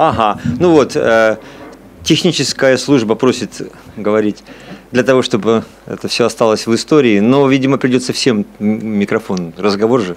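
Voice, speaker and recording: Long, frequent pauses break up a man's speech at a moderate pace. His pitch varies in an ordinary way. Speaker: psychology professor and discussion moderator. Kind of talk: moderated academic discussion. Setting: seminar room with audience and microphones. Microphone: podium.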